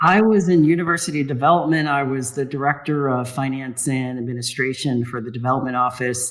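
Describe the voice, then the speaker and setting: In an ordinary speaking voice, a man with an American accent talks at a medium pitch with ordinary pitch variation. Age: 60s. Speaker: retired finance director and activist. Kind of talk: podcast interview.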